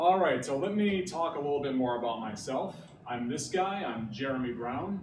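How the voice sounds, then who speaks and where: With a northeastern Pennsylvania accent, a man speaks with lively intonation amid audible room echo. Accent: northeastern Pennsylvania American. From Scranton, northeastern Pennsylvania. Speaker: graphic designer and pixel artist. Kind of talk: presentation. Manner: casual, filler-heavy (uh, like).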